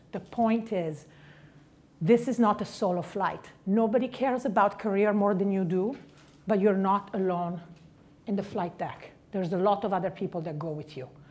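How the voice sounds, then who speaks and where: A woman with a strong Italian accent, medium pitch, ordinary pitch variation and a moderate pace. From Italy, Milan. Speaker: investment banker, conference speaker. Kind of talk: keynote speech. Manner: direct.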